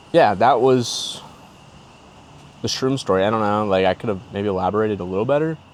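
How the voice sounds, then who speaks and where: Over noticeable background noise, a man with a fairly low pitch talks at a fairly quick pace with long, frequent pauses and ordinary pitch variation. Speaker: podcaster telling personal stories. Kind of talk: casual storytelling monologue. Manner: fast; animated.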